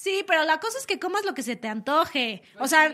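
Noticeable background noise sits behind a woman with an extremely high pitch. Her tone is animated and her voice raised and projected. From Mexico City. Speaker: radio host. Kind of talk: casual radio talk show. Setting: radio studio.

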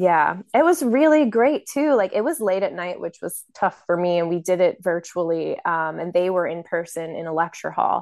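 In a plain, everyday voice, a woman with a fairly low pitch talks at a moderate pace with lively intonation and hardly any pauses against a quiet background. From Maryland, US. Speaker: chronic illness patient advocate. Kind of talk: casual chat. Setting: video call.

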